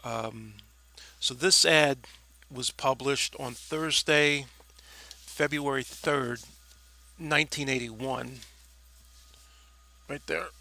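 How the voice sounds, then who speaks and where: Pausing long and often, a man speaks very slowly at a fairly high pitch, his tone bright and sharp and his intonation fairly even. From New York City (Staten Island). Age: 60s. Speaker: former nightclub DJ. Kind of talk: personal reminiscence monologue. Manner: hesitant, many fillers.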